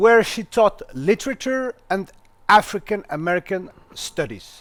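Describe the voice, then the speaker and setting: A man with a non-native accent talks at a very slow pace. His voice is high-pitched with lively intonation. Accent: non-native English accent, self-remarked. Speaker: interviewer. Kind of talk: formal interview introduction. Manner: formal.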